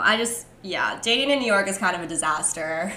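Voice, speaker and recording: A woman with a Californian accent talks over audible room echo. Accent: Californian American. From US West Coast, San Francisco Bay Area. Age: 20s. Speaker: podcast guest. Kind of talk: casual chat.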